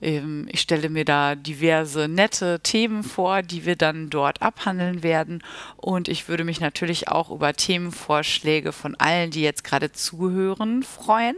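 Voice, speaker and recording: In a dry, close sound with no echo, a normal speaking voice runs on with hardly any pauses. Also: woman, fairly low pitch for a woman, ordinary pitch variation, fairly slow pace. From Germany, Münster (Westphalia). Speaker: school teacher and podcast host. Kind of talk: solo podcast introduction. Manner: casual with filler sounds.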